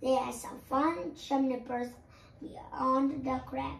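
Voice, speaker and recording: A raspy, put-on character voice from a woman, high-pitched and very slow. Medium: read story.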